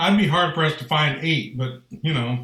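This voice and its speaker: A plain, everyday voice from a man at a moderate pace, with ordinary pitch variation. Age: 50s. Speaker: podcast co-host. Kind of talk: casual chat.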